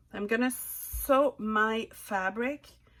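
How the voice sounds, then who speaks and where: The recording is very clean, with a silent background. A woman speaks with a Quebec accent at a fairly high pitch. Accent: French Canadian accent in English. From Quebec / French Canada. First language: French. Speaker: sewing tutorial creator. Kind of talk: tutorial. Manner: halting, with hesitations.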